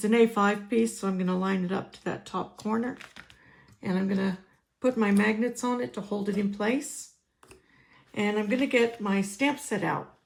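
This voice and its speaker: Pausing long and often, a woman at medium pitch speaks at a moderate pace with ordinary pitch variation. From United States. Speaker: crafting demonstrator. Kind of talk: tutorial. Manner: casual, with fillers.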